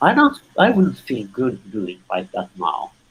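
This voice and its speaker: A man's voice comes across as somewhat breathy. He keeps a medium pitch and talks at a moderate pace. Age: 60s. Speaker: human rights activist. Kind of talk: interview discussion. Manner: halting, with repeated words.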